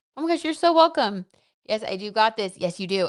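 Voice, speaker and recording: A woman talks at a fairly quick pace in a medium pitch, with very wide pitch swings. The background is quiet. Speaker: numerology livestream host. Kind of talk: live Q&A stream reading chat. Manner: casual, chatty.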